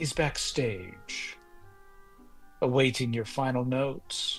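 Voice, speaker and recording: Soft-spoken and very slow, a put-on character voice at a low-to-middle pitch plays over clear music in the background. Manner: subdued, unreadable.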